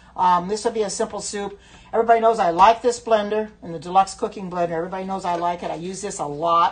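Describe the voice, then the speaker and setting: Against noticeable background noise, a woman with an American accent speaks at a medium pitch with fairly even intonation and big swings in loudness. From US Midwest, Indiana. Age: 70s. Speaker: cooking livestream host. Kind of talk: casual livestream cooking chat. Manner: chatty, hesitant with many fillers.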